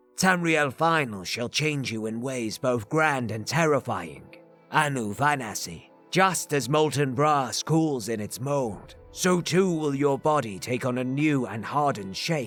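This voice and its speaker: A put-on character voice from a man of medium pitch, fairly slow, with faint music in the background. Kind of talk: religious sermon. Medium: read story. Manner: grandiose, preaching.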